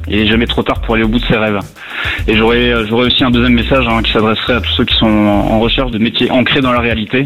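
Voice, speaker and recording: Noticeable background noise sits behind a man talking at a very fast pace. His loudness stays very even. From Lorraine, France. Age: 30s. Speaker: firefighter officer and author. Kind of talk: radio interview. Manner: hesitant with fillers.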